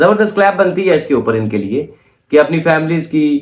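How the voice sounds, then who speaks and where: A man's pitch swings very widely while his delivery holds a moderate pace. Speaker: YouTube commentator. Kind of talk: reaction commentary monologue. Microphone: no microphone, recorded on phone.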